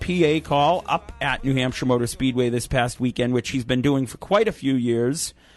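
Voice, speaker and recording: Music plays in the background as a man talks with hardly any pauses. His pitch is medium, with ordinary variation. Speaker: radio show host interviewer. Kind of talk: radio interview host.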